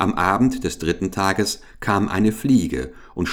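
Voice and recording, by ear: A person reads text aloud in a natural voice.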